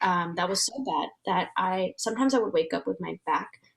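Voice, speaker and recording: A woman speaks with a Vietnamese accent. Her pace is moderate. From US, Vietnamese American family. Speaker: transformation facilitator and entrepreneur. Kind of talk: interview.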